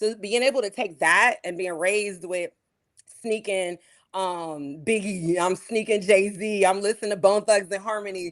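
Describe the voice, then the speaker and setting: Against a quiet background, a woman with an American accent talks at a moderate pace, her medium pitch showing ordinary variation. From Pittsburgh, Pennsylvania, US. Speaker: musician. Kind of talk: interview.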